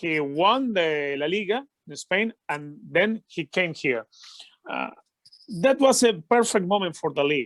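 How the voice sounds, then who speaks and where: At a fairly slow pace, a man with a Venezuelan accent talks in a high voice that makes very wide pitch swings. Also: dry, close sound with no echo. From Venezuela, Caracas. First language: Spanish. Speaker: football commentator. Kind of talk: interview. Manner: halting, many fillers.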